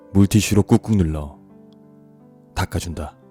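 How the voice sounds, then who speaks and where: With music in the background, a man speaks at a very deep, low pitch and a fairly slow pace. His calm tone shows ordinary pitch variation, with a dry, close sound and no echo. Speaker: audiobook narrator. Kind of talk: audiobook reading. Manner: soft, slow, calm.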